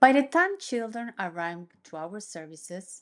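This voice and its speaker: A woman with a Mexican accent, fairly slow pace, and lively intonation against a quiet background. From Mexico. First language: Spanish. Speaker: neuropsychologist and occupational therapist. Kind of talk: presentation. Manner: formal.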